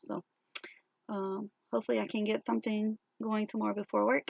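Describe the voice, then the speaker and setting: The sound is dry and close with no echo as a woman talks at a moderate pace. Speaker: crochet vlogger. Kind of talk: casual show-and-tell vlog. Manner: hesitant, many fillers.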